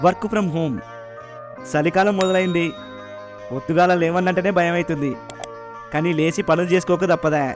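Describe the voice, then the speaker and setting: With music in the background, a man in a Telangana accent speaks at high pitch with ordinary pitch variation. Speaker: radio jockey narrator. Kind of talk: audio drama narration.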